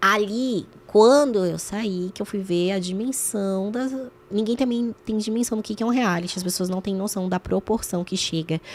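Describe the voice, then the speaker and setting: On a very clean recording with a silent background, a woman uses a normal speaking voice at a medium pitch, a moderate pace and ordinary pitch variation. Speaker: former reality show contestant and journalist. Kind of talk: podcast interview.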